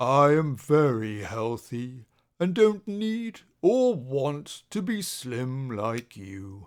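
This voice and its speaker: A man puts on a character voice at a medium pitch. He goes at a very slow pace. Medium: read story.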